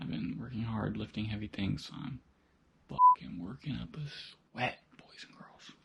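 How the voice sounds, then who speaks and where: Whispering, a man talks at a moderate pace. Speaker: car hobbyist vlogger. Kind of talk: casual vlog narration. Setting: home garage.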